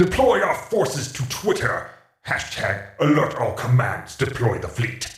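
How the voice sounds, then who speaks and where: A man's cartoonish character voice at a fairly high pitch with a slight echo. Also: moderate pace. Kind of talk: comic overacting.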